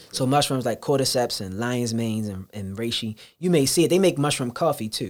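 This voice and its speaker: A man's medium-pitched voice carries lively intonation. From Baltimore. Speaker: juice bar owner. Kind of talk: casual interview.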